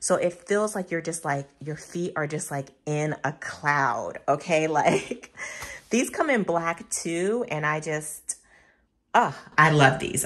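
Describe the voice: A woman speaks at a low pitch and a fairly slow pace. Her voice has a slightly husky edge.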